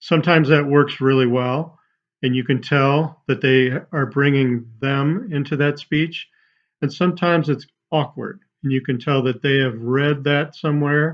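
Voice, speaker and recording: Using a plain, everyday voice, a man with a fairly high pitch speaks at a moderate pace with fairly even intonation. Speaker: student giving a class speech. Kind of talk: persuasive speech. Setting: online presentation.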